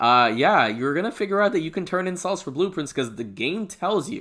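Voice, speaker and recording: This man talks at a fairly quick pace in a bright, sharp tone, his pitch swinging very widely. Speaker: gaming YouTuber. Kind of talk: video commentary. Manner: stutters sometimes; hesitant, many fillers.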